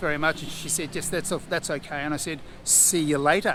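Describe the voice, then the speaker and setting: Against noticeable background noise, a man with an Australian accent talks at a very fast pace and a fairly high pitch. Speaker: travel vlogger. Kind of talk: casual vlog narration. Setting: restaurant.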